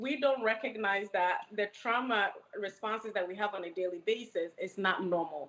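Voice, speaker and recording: A woman with an American accent speaks at a moderate pace and a medium pitch. Her pitch varies in an ordinary way, and there is noticeable background noise. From Ghana, then New York City from age 15. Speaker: licensed mental health counselor. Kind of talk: podcast interview.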